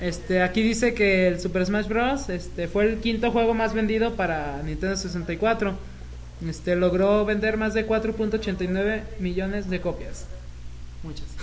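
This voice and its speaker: In a Mexican accent, a woman speaks at a very slow pace. There is noticeable background noise and audible room echo. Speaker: podcast co-host. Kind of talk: casual chat.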